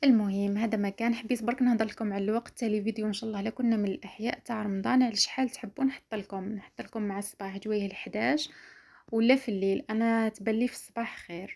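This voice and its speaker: At a fairly quick pace with hardly any pauses, a woman with a fairly high pitch keeps her intonation fairly even on a very clean recording with a silent background. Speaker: lifestyle vlogger. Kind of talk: casual vlog talk to viewers.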